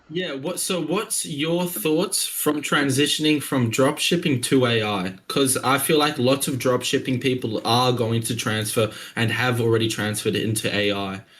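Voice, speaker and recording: With an Australian accent, a man talks at a moderate pace using lively intonation. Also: medium pitch for a man, hardly any pauses. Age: 20s. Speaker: young entrepreneur. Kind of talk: casual chat. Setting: video call.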